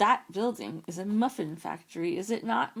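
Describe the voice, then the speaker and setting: A put-on character voice is heard here. The delivery is moderately paced. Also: female-sounding voice, medium pitch for a woman. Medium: read story.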